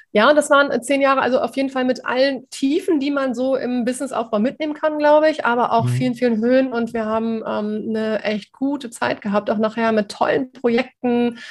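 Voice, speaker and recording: Talking at a moderate pace with hardly any pauses, a woman keeps a fairly even intonation in a high voice. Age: 40s. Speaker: communication and quick-wit trainer. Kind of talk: interview.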